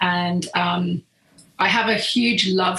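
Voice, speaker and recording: Noticeable background noise accompanies a woman with a British accent. Her medium-pitched voice keeps fairly even intonation. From southern England. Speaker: professional photographer. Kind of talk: podcast interview.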